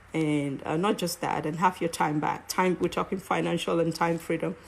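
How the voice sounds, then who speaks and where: The speaker has a strong Cameroonian accent. Pitch varies in an ordinary way. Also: woman. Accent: heavy African (Cameroonian). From Cameroon, English-speaking side. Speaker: network marketer and live-stream host. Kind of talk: live stream monologue. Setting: live online broadcast. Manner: halting, many fillers.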